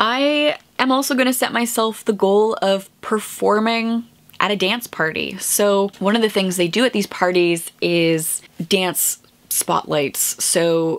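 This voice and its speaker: With ordinary pitch variation, a woman speaks at medium pitch. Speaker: booktuber. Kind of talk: casual vlog chat. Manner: chatty; fast.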